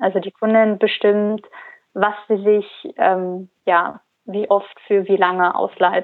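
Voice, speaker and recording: A woman speaks at a very slow pace in a medium pitch, her intonation monotone and flat. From Germany, Cologne. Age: 20s. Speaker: founder of a fashion rental startup. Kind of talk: interview. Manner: halting, many fillers.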